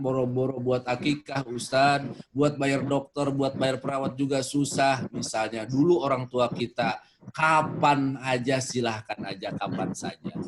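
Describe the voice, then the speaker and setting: Noticeable background noise runs under this clip. A man with a fairly high pitch speaks at a fairly slow pace. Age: 40s. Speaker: Islamic preacher. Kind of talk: religious talk with Q&A.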